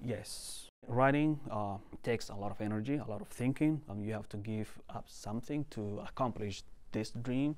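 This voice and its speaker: In a Somali accent, a man speaks at medium pitch and a moderate pace with ordinary pitch variation. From Somalia. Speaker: author and translator. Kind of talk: interview. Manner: halting.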